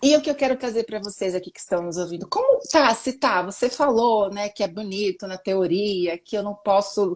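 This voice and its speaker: A woman at medium pitch, moderate pace, on a very clean recording with a silent background. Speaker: self-help speaker. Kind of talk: interview. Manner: animated.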